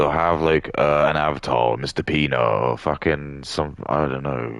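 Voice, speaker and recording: A man with an English accent speaks at a moderate pace. There is noticeable background noise. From England. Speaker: gaming streamer. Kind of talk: casual livestream rant. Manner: halting.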